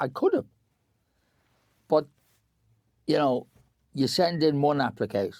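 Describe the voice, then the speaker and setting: A man speaks at a medium pitch with a Dublin accent. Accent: Irish (Dublin). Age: 80s+. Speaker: actor and theatre director. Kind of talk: casual interview chat. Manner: halting, repetitive.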